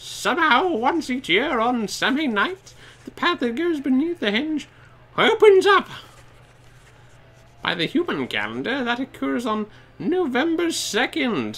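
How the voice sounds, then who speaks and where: A man speaks in a put-on character voice pitched extremely high. He talks at a fairly slow pace, with long, frequent pauses. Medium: game stream. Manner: stammering.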